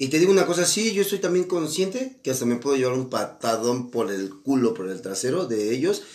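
Talking at a fairly quick pace, a man uses a normal speaking voice at a medium pitch. His intonation is lively. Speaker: podcast co-host. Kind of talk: casual chat.

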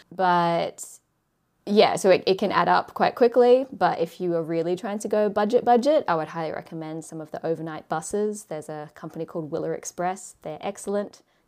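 A woman's medium-pitched voice in an Australian accent, fairly quick, with big swings in loudness. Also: ordinary pitch variation. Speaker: YouTuber and travel content creator. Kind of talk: casual interview chat. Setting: remote call.

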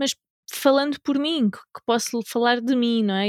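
Sounding dry and close with no echo, the voice keeps a moderate pace. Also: woman, very clean recording, silent background. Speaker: podcast host, women's empowerment coach. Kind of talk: casual chat.

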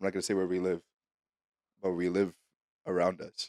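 The recording is very clean, its background silent. A man talks in an animated tone. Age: 20s. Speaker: podcast co-host. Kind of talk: casual chat.

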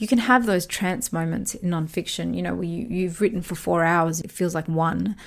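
In an Australian accent, a woman speaks at a moderate pace with ordinary pitch variation and hardly any pauses, on a very clean recording with a silent background. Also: fairly low pitch for a woman. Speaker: author and podcast host. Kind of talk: solo podcast talk.

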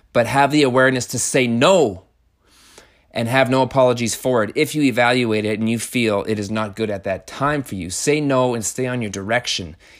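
Animated, fairly quick speech with ordinary pitch variation on a very clean recording with a silent background. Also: man, medium pitch for a man. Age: 30s. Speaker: podcast host and carpenter. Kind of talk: monologue podcast.

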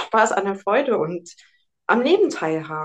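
Over a quiet background, a woman uses a normal speaking voice at medium pitch, with lively intonation and a moderate pace. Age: 40s. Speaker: nutrition consultant. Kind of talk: interview.

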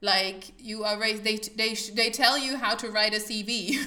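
A fairly slow, monotone, flat voice from a woman, fairly high in pitch, in a German accent. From Germany. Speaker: podcast host. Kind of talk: casual conversational interview.

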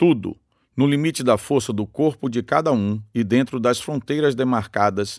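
With a normal speaking voice at medium pitch, a man speaks at a fairly slow pace. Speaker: narrator reading the book aloud. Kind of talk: reflective prose reading aloud, philosophical essay narration. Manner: measured, formal, deliberate, contemplative.

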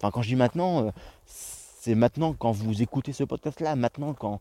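Speaking at a fairly quick pace, a man with a medium pitch and a dark, mellow tone shows ordinary pitch variation in a very clean recording with a silent background. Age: 20s. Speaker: podcaster. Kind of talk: solo monologue. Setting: outdoors in nature. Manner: hesitant, many fillers.

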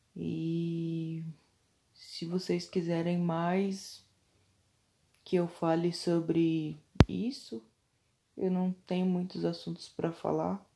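Very slowly and with long, frequent pauses, a woman with a fairly low pitch and a dark, mellow tone speaks with fairly even intonation. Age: 20s. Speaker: podcaster. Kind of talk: personal monologue.

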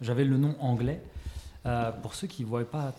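A man talks at a medium pitch and a moderate pace with ordinary pitch variation. Noticeable background noise runs under his voice. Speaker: podcast host. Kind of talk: interview. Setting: guest's shop.

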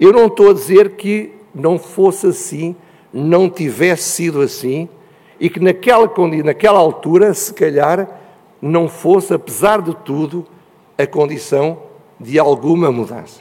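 Speaking at a fairly slow pace with an European Portuguese accent, a man with a high-pitched voice leaves long, frequent pauses, and his pitch varies in an ordinary way. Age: old. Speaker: panel speaker. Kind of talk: panel talk.

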